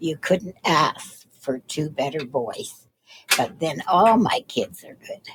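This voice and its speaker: Using very deep, low pitch and a warm tone, a woman speaks at a very slow pace with lively intonation. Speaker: retirement home resident. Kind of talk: interview. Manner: warm, positive tone.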